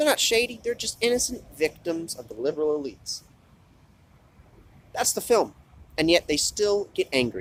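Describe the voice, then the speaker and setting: A man at a moderate pace. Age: 20s. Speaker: YouTube movie commentator. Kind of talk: casual vlog rant. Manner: animated.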